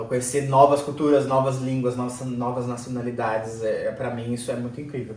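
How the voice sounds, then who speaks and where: Over noticeable background noise and audible room echo, a man with a medium pitch talks at a fairly quick pace in monotone, flat intonation with hardly any pauses. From Brazil. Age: 30s. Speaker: immigrant interviewee. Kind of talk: interview.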